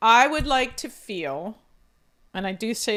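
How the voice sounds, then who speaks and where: A woman with an American accent speaks loudly and at a fairly slow pace, animated in tone. Her pitch swings very widely on a very clean recording with a silent background. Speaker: podcast co-host. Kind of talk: casual chat.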